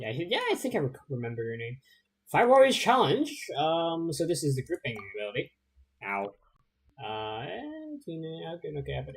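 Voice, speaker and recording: The delivery is fairly quick but broken by long, frequent pauses, with big swings in loudness. Pitch swings very widely, and the voice is somewhat breathy. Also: man, fairly high pitch for a man. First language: not English. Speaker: video game streamer. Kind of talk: gameplay livestream commentary. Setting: livestream. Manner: hesitant, many fillers.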